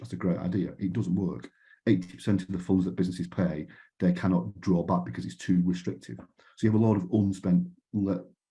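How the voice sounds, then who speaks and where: A man with a British accent and a very deep, low pitch speaks at a fairly quick pace in a dark, mellow tone, with vocal fry and ordinary pitch variation. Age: 50s. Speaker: panel speaker from a retail co-operative. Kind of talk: conference panel talk. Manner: halting, with repeated words and false starts.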